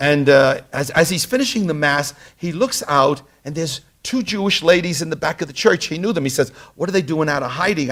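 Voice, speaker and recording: The speaker has a Brooklyn accent and a fairly quick pace. Pitch varies in an ordinary way. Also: man. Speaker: tour guide or lecturer on history. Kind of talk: lecture. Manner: halting, many fillers.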